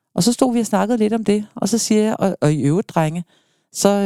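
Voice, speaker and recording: A woman talks very fast in a dark, mellow tone, her pitch swinging very widely. The recording is very clean and dry, close with no echo and a silent background. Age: 50s. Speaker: foster parent and volunteer for children in care. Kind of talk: emotional interview. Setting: studio.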